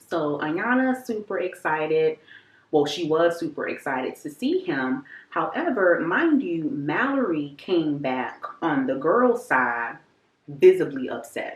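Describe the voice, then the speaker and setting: Fairly slow and fairly low in pitch, a woman speaks with very wide pitch swings. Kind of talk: casual talk to camera. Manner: chatty, lighthearted.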